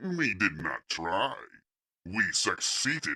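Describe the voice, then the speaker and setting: Putting on a character voice, a man speaks at a very slow pace with a medium pitch. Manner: calm, cold, commanding.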